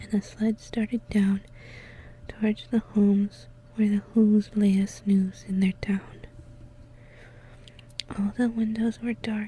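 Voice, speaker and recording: Soft-spoken and whispering, the speaker moves at a very slow pace. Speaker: ASMR content creator. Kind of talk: ASMR storybook reading. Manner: soft-spoken, whispered.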